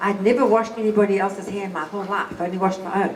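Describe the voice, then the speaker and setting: A woman's very fast speech at medium pitch, with noticeable background noise and audible room echo. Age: 60s. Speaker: businesswoman.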